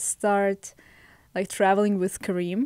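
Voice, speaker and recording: Recorded very cleanly against a silent background, a woman with a Russian accent speaks at a medium pitch. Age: 20s. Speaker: podcast guest, host's girlfriend. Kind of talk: casual podcast chat.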